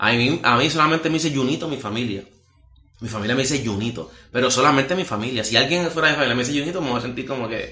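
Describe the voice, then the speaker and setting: Over noticeable background noise and audible room echo, a man talks at a very fast pace, his medium pitch showing ordinary variation. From Puerto Rico, Las Marías (rural west). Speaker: evangelist preacher. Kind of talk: testimony interview.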